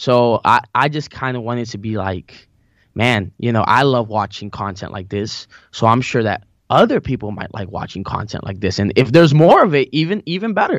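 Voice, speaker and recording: A man with a Spanish accent speaks at medium pitch and a moderate pace. His intonation is lively, and the background is quiet. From Colombia, moved to US Maryland at age five. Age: 20s. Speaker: church musician and worship leader. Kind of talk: casual interview chat.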